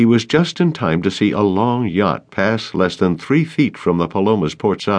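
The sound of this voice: The intonation is lively as an unforced reading voice goes through the text.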